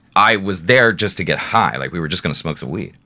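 A man's voice carries vocal fry. His tone is bright and sharp. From Alaska. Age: 30s. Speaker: e-commerce director and blogger. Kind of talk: casual chat. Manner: animated.

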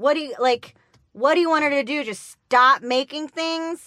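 Raising and projecting her voice, a woman speaks at a moderate pace and high pitch with a bright, sharp tone, the sound dry and close with no echo. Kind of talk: casual chat. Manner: playful, joking.

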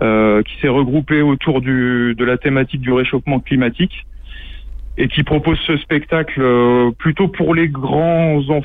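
Fairly even intonation from a man speaking very slowly. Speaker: cultural venue manager. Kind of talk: casual interview. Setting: phone call.

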